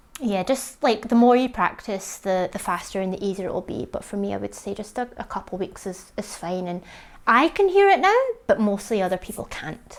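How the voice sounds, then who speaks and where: A woman with a British accent at a moderate pace, with big swings in loudness. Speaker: vlogger sharing jaw surgery recovery. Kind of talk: casual vlog update. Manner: slightly slurred; chatty, many fillers.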